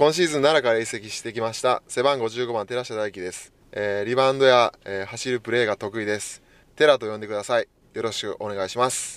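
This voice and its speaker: At a fairly quick pace, a man with a medium pitch and ordinary pitch variation speaks with big swings in loudness and a dry, close sound with no echo. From Japan, Wakayama. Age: 30s. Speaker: professional basketball player. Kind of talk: interview.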